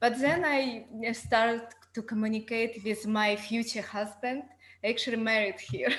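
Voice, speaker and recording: Speaking with a Ukrainian accent, a woman talks at a fairly slow pace. Her pitch is fairly high and her intonation fairly even. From Ukraine. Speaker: student. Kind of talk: class introduction. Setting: video call.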